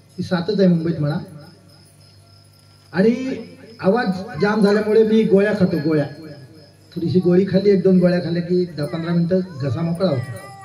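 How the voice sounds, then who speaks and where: Music plays behind a man whose high voice shows ordinary pitch variation amid audible room echo. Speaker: kirtan performer. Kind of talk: sermon.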